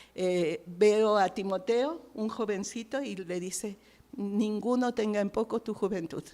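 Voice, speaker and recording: Her pitch shifts in an ordinary way. The woman talks very slowly. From Mexico. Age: 60s. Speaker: missionary. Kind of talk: testimony.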